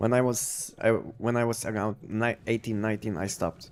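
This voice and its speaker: In a Polish accent, a man talks at a medium pitch. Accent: Polish accent, thought Russian by viewer. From Poland. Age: 50s. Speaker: gaming streamer. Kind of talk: live stream commentary. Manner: halting, many repetitions and fillers.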